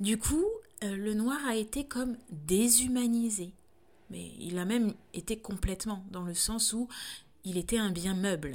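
A woman speaks at a fairly slow pace in a fairly high, somewhat breathy voice with ordinary pitch variation. The recording is very clean, with a silent background. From France. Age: 30s. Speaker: doula and podcaster. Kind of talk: solo reflective monologue. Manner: halting, frequent hesitations.

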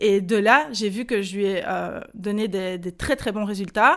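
The speaker has a Belgian accent and an energetic tone, with ordinary pitch variation at a moderate pace. The recording is very clean, with a silent background. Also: woman. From Belgium. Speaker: online business coach. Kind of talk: interview.

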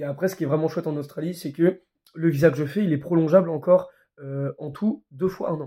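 Fairly high-pitched for a man, this male voice has a dark, mellow tone, fairly even intonation and a fairly quick pace. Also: big swings in loudness. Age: 20s. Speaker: young traveller. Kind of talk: casual chat.

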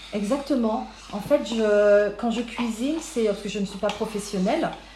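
Fairly high-pitched woman's voice at a moderate pace with ordinary pitch variation, audible room echo and noticeable background noise. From Paris region, France. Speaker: caterer. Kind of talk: interview.

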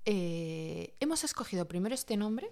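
A woman speaks with lively intonation in a dark, mellow tone. The recording is very clean, with a silent background. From Spain. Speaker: podcast co-host. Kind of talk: casual chat.

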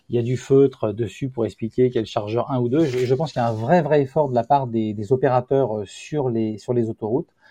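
At a moderate pace, a man talks with fairly even intonation at a medium pitch, in a dry, close sound with no echo. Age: 50s. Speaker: company founder. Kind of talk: interview. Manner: halting.

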